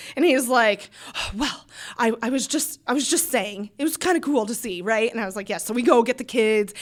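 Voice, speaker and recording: Animated in tone, a woman with a Midwestern US accent speaks at a fairly quick pace. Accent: US Midwest. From Iowa. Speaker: small business owner. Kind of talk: casual interview chat. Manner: fast.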